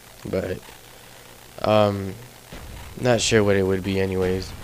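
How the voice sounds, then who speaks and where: Background noise is noticeable here. The man talks at a very slow pace. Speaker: gaming commentator. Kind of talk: casual gameplay commentary.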